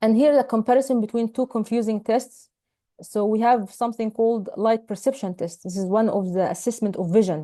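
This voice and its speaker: A woman with an Arabic accent speaks at a fairly quick pace with a fairly high pitch and ordinary pitch variation. Her tone is dark and mellow, set against a quiet background. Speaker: ophthalmology teacher. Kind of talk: lecture.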